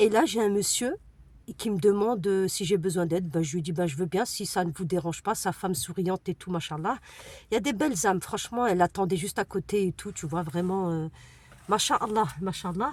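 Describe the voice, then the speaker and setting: A somewhat breathy woman at medium pitch speaks at a fairly quick pace with ordinary pitch variation. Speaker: vlogger, single mother. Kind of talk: casual vlog talk to camera. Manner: fast; hesitant, many fillers.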